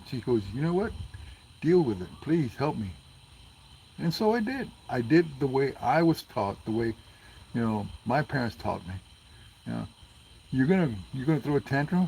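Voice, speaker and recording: Somewhat breathy and medium in pitch, a man talks at a moderate pace with lively intonation and long, frequent pauses. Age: 60s. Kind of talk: casual chat.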